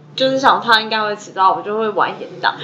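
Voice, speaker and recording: Noticeable background noise runs under this recording. A woman with a Taiwanese accent talks at a very fast pace. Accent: Taiwanese Mandarin. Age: young. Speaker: podcast co-host. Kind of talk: casual chat.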